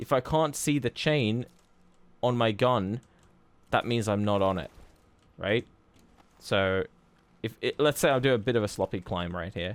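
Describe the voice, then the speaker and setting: A man at medium pitch with ordinary pitch variation and a moderate pace, long, frequent pauses, and a very clean recording with a silent background and a dry, close sound with no echo. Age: 30s. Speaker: speedrunner and streamer. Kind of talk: tutorial. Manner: casual, conversational.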